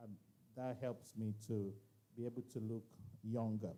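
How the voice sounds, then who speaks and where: At a moderate pace, the voice has a dark, mellow tone that is somewhat breathy. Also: man. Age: 60s. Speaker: conference speaker. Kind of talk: motivational talk.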